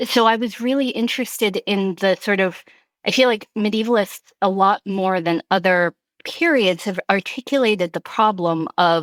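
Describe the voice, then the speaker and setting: The recording is very clean, with a silent background and a dry, close sound free of echo. The speaker keeps a moderate pace with ordinary pitch variation. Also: woman. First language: not English. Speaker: history professor. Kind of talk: interview conversation.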